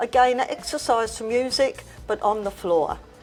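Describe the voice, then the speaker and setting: Over music in the background, a woman with an Australian accent speaks at a fairly high pitch. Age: 80s+. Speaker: fitness instructor. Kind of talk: interview answer.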